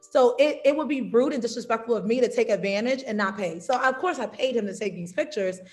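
Speaking at a very fast pace with hardly any pauses, a woman with an American accent uses a fairly high pitch. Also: ordinary pitch variation. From New York and South Carolina. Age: 30s. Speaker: travel content creator and teacher. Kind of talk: casual interview.

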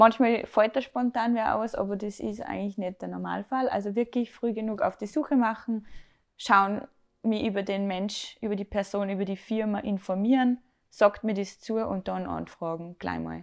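A woman with a normal speaking voice talks at medium pitch and a moderate pace, with fairly even intonation. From Austria, Salzburg. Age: 20s. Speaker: make-up artist and hairdresser. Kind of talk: casual interview.

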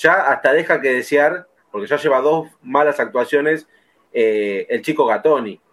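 A man speaks in a plain, everyday voice. It is fairly high in pitch and fairly slow. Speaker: football podcast host. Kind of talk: casual chat.

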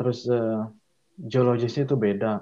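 A dark, mellow tone at a fairly slow pace. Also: man. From Indonesia, Bandung (West Java). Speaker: structural designer. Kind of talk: casual interview. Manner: halting, many fillers.

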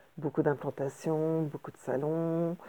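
The woman's voice sits at a very deep, low pitch. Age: 50s. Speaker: interior decorator. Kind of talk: solo podcast monologue. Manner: halting, many hesitations.

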